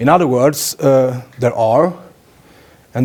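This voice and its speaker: At a moderate pace, this voice carries a Swedish accent and a dark, mellow tone. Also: man. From Sweden. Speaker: politician. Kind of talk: lecture. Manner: halting, many fillers.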